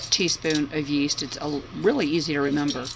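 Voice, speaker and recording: Noticeable noise fills the background. A woman talks through it. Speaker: home cook. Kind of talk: tutorial. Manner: casual, chatty.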